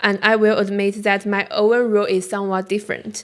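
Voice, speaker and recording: A fairly high-pitched female voice, moving at a moderate pace. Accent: Chinese. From China. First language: Chinese. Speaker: graduate student. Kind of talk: conference talk. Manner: halting.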